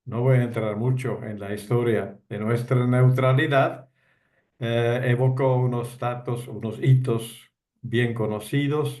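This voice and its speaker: A man with a non-native accent talks at a very slow pace in a medium pitch. Echo from the room can be heard. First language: not Spanish (speaking Spanish). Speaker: retired diplomat. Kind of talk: talk to online discussion group.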